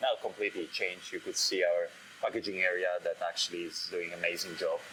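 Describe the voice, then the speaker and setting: A man talks with a Polish accent at a fairly quick pace. Noticeable background noise runs under his voice. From Poland. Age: 30s. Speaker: head brewer. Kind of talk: interview. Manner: halting, with many fillers.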